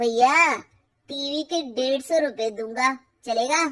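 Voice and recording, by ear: In a cartoonish character voice, a woman speaks at a high pitch and a very slow pace, with ordinary pitch variation.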